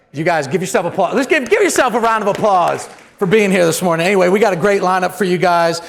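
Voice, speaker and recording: A man speaks loudly and very fast in a high pitch with ordinary pitch variation and an energetic, animated tone, amid audible room echo and noticeable background noise. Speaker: event host, news managing editor. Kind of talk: live event emcee remarks. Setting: stage with live audience. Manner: fast and loud.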